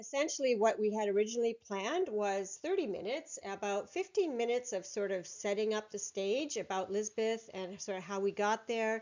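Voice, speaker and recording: A woman with a Canadian accent speaks at a fairly quick pace. She barely pauses, and her pitch varies in an ordinary way. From northern Germany, raised in Canada from childhood. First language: German. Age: 60s. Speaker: entrepreneur and publisher. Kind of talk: recorded conference presentation. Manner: hesitant, with many fillers.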